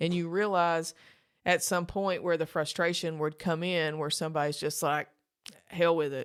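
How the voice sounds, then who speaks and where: A woman's fairly low voice with an Appalachian accent, flat and monotone, at a moderate pace. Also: very clean recording, silent background. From Eastern Kentucky. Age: 40s. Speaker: author in long-term addiction recovery. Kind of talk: interview.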